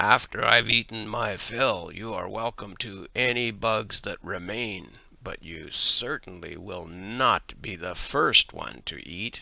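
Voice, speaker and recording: Using a raspy put-on character voice at a fairly low pitch, a man talks at a fairly slow pace with hardly any pauses. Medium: read story. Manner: boastful.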